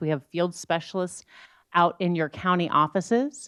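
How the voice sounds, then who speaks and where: In an American accent, a woman with an unremarkable speaking voice talks at a moderate pace with ordinary pitch variation. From rural Iowa and rural Scotland. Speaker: economics professor. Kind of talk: panel talk.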